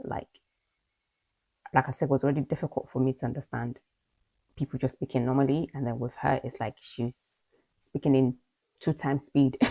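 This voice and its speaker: A woman with a slight Nigerian accent speaks in a very deep, low pitch with a dark, mellow tone and monotone, flat intonation, the sound dry and close with no echo. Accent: slight Nigerian twang in British English. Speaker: video blogger. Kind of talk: personal vlog monologue. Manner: fast.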